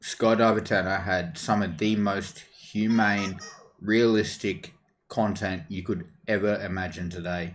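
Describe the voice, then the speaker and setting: A man with an Australian accent, fairly low in pitch, with ordinary pitch variation. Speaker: gaming streamer. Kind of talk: casual chat.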